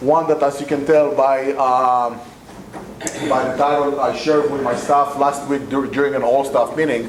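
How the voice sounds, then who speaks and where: Amid noticeable background noise and audible room echo, a man with an Israeli accent speaks at a moderate pace and a fairly high pitch. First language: Hebrew. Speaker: community center executive director. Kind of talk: talk to a club audience. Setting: meeting room with PA microphone and audience. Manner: hesitant with many fillers and repetitions.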